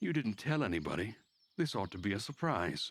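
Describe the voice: A man's put-on character voice, fairly quick, with big pitch swings, a slightly husky edge and a fairly bright tone, on a very clean recording with a silent background. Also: fairly low pitch for a man.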